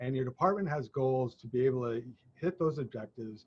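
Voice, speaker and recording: With an American accent, the voice is somewhat breathy and shows ordinary pitch variation. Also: man. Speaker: leadership consultant. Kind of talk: casual discussion.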